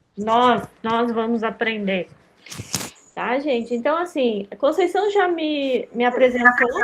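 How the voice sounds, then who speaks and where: Noticeable background noise sits behind a woman speaking at a very slow pace. Her high voice has lively intonation. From Rio Grande do Sul, Brazil. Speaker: lecturer on digital education for seniors. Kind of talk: online workshop lecture. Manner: informal, many fillers.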